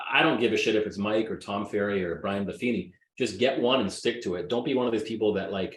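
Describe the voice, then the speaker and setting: Talking at a very fast pace, a man with a fairly low pitch sounds animated, with ordinary pitch variation. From Greek heritage. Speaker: real estate agent. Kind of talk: interview.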